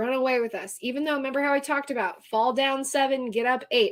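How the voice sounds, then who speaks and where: A woman with a high pitch and an American accent, ordinary pitch variation, on a very clean recording with a silent background. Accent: Texan accent, comes out from time to time. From Texas. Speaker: astrologer and tarot reader. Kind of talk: live stream astrology reading. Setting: live stream. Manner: casual, chatty.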